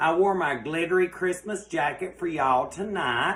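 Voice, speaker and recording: The speaker has a Southern US accent and talks at a moderate pace. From US South. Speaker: cooking show host. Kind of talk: live cooking show. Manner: loud.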